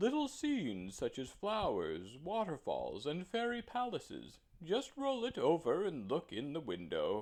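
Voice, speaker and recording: Putting on a shrill character voice, a man speaks high-pitched at a moderate pace with hardly any pauses. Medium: read story.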